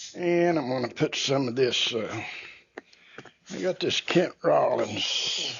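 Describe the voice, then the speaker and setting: Speech moves at a very slow pace with long, frequent pauses. Background noise is noticeable. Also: man. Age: 70s. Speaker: barbecue cooking youtuber. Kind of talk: cooking tutorial. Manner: casual, unhurried.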